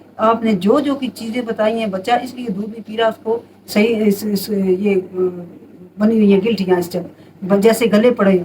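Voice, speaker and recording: Over noticeable background noise, a woman talks with fairly even intonation but big swings in loudness. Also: fairly high pitch for a woman, moderate pace. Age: 60s. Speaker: home remedy advisor. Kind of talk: casual advice monologue.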